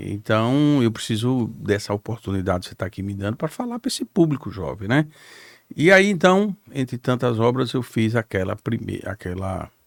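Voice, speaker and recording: A man speaks in a plain, everyday voice at medium pitch, with lively intonation, a moderate pace, and a dry, close sound with no echo. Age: 60s. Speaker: politician, former mayor. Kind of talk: podcast interview.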